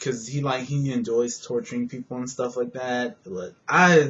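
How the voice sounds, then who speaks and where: A man's somewhat breathy voice with lively intonation at a fairly slow pace. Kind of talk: casual movie review to camera. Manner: rambling, hesitant.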